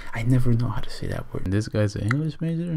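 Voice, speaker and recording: A man speaks with lively intonation. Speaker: vlogger. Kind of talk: casual vlog. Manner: whispering.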